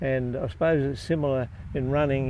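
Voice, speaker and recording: Dry sound with no echo and light background noise. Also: man. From Australia. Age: 80s+. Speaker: retired lawyer and marathon runner. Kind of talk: interview answer. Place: open country. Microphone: lapel.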